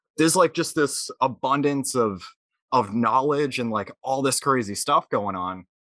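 With an American accent, this bright, sharp voice moves at a moderate pace against a quiet background. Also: man. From Massachusetts. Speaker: podcast host. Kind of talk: casual interview chat. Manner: casual, enthusiastic.

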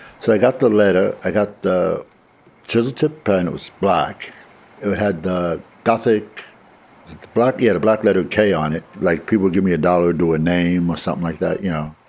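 With a New York accent, a man speaks at a moderate pace in a very deep, low pitch with ordinary pitch variation. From Brooklyn, New York. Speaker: homeless man without photo ID. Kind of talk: interview recollection.

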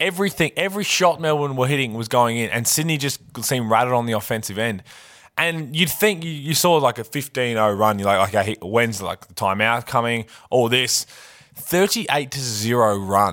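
A man with an Australian accent, bright, sharp tone, lively intonation and big swings in loudness, on a very clean recording with a silent background. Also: medium pitch for a man, fairly quick pace. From Adelaide, Australia. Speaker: basketball podcast co-host, former pro player. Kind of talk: casual sports banter podcast.

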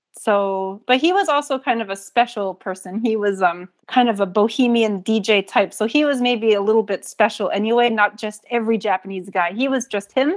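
Speaking with hardly any pauses, a woman uses a normal speaking voice with an American accent, fairly high in pitch with ordinary pitch variation. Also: fairly quick pace. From US Northeast (New England). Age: 30s. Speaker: teacher of Japanese music. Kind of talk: casual interview. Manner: laughs often.

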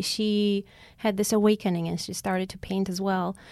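Recorded very cleanly against a silent background, a woman with an Armenian accent speaks at a moderate pace and medium pitch with fairly even intonation. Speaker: concert pianist. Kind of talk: interview.

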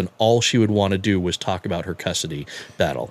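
A man uses a normal speaking voice at a fairly quick pace with ordinary pitch variation on a very clean recording with a silent background. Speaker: father sharing his story. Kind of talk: personal story interview.

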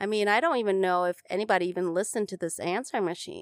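Very fast and fairly even in intonation, a woman at medium pitch speaks with an Upper Midwest accent in a dry, close sound with no echo, on a very clean recording with a silent background. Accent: Upper Midwest American. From Minnesota. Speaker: podcast host. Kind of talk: casual interview. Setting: studio.

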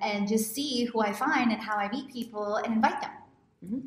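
There is noticeable background noise as a woman talks at a fairly quick pace. Her pitch is fairly high, with ordinary variation. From Houston, Texas. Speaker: podcast host, lifestyle coach. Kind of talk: interview podcast.

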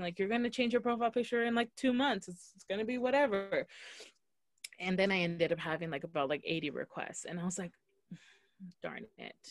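An unremarkable speaking voice with lively intonation, moving at a fairly quick pace. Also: woman. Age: 20s. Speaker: podcast co-host. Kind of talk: casual chat.

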